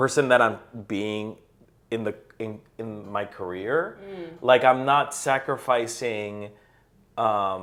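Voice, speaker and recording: A man with a medium-pitched voice speaks at a very slow pace, leaving long, frequent pauses, and his loudness swings widely. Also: ordinary pitch variation. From Colombia. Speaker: actor and improviser. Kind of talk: podcast interview answer.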